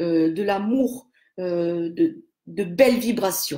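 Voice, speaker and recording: Lively intonation runs through a woman's voice. She talks at a very slow pace. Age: 60s. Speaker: aromatherapy seller. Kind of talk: live stream talk. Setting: live video stream. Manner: halting.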